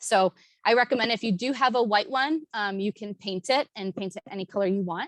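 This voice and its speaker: In a dry, close recording with no echo, a woman with an American accent speaks at a moderate pace, her medium pitch showing ordinary variation. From Chicagoland area, US Midwest. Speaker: water quality extension agent. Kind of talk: workshop presentation. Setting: in-person workshop streamed online. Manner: hesitant, many fillers.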